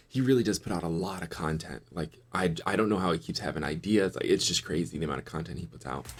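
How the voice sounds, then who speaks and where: A man talks at a very fast pace with hardly any pauses, in an American accent. His pitch is very deep and low, and his intonation is lively. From US West Coast, Los Angeles. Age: 30s. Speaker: YouTube finance commentator. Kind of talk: casual reaction commentary.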